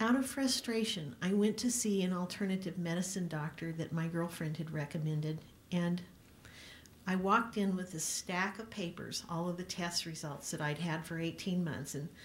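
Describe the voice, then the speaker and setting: A woman's somewhat breathy, fairly low-pitched voice at a moderate pace. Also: ordinary pitch variation. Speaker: company CEO and speaker. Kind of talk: speech at a press event. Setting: press club room with audience.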